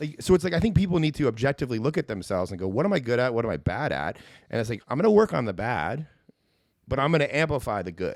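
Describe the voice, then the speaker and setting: Vocal fry from a medium-pitched man, very fast pace, very wide pitch swings, on a very clean recording with a silent background. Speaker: content creator and video marketer. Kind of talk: casual chat. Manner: confident.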